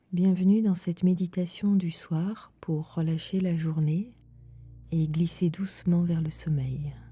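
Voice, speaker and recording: A woman with a fairly low pitch and a calm tone speaks at a very slow pace with fairly even intonation over music in the background. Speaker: meditation guide. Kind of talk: guided sleep meditation. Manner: slow, calm.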